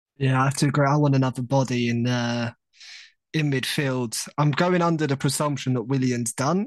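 With an English accent, this speaker moves at a fairly quick pace and keeps the intonation fairly even. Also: man. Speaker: football podcast co-host. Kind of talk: casual chat.

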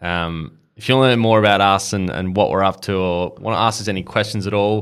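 A man with an Australian accent, fairly low in pitch and fairly quick, in a very clean recording with a silent background. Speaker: podcast host. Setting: studio.

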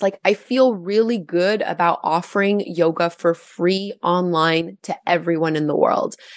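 This woman has an ordinary speaking voice, medium in pitch with ordinary pitch variation. The background is quiet. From Gatineau, Quebec, Canada. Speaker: yoga teacher and YouTuber. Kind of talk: interview.

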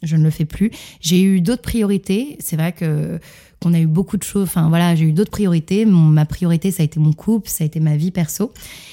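A woman with a fairly low, dark, mellow voice speaks at a fairly quick pace, with ordinary pitch variation and very even loudness, in a very clean recording with a silent background. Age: 30s. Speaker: fitness coach. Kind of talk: interview. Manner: animated.

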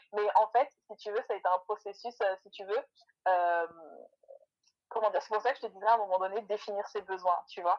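This woman talks at a medium pitch, her intonation fairly even. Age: 20s. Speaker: mother sharing homemade beauty products. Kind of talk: casual interview.

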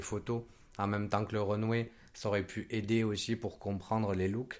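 Over a very clean recording with a silent background, a man with a fairly low pitch talks at a moderate pace in a monotone, flat intonation. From Côte d'Ivoire. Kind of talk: casual chat.

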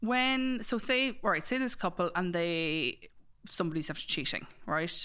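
In an Irish Midlands accent, a woman speaks at a fairly slow pace and a medium pitch, with very wide pitch swings and a bright, sharp tone. The recording is very clean, with a silent background. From Ireland, Mullingar. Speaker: matchmaker and dating coach. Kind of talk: casual chat.

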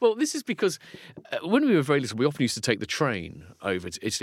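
A man with a southern English accent at a very fast pace, on a very clean recording with a silent background. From southeast England (Folkestone, Kent). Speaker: philosopher and author. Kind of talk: casual chat.

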